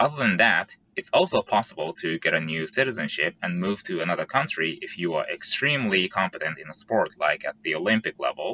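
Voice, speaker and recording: Fairly quick speech from a man, with hardly any pauses. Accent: Japanese. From Japan. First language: Japanese. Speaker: software engineer and YouTuber. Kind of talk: vlog explainer.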